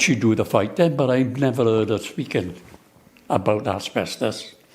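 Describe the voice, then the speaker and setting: A man at a moderate pace, with a Swansea accent. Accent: Welsh English (Swansea). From Wales, Swansea. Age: 80s+. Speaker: asbestos compensation campaigner. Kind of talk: interview. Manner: halting, repetitive.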